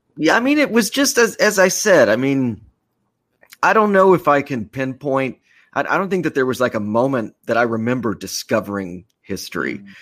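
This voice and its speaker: A fairly quick-paced man with an American accent and very wide pitch swings, on a very clean recording with a silent background. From Texas, Austin. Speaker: storyteller and audio essay producer. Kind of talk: interview. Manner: hesitant with many fillers.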